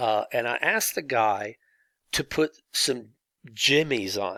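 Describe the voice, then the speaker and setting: A man speaks with a Southern US accent. The sound is dry and close with no echo, a very clean recording on a silent background. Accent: southern drawl. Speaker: teacher. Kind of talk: lecture. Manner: halting.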